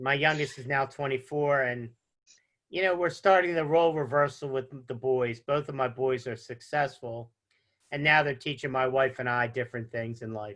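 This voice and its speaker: Using a normal speaking voice, a man talks at a moderate pace with medium pitch and fairly even intonation. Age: 60s. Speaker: insurance agent. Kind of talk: interview. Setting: studio.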